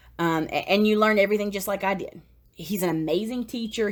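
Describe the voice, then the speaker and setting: A woman talking at a fairly quick pace, with ordinary pitch variation. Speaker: network marketer. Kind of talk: webinar sales pitch. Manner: fast; animated.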